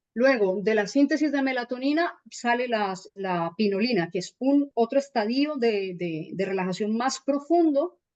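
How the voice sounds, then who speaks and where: At a fairly slow pace, a woman speaks with lively intonation and fairly high pitch. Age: 30s. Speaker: holistic healing teacher. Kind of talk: explanatory talk on radio show. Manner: animated.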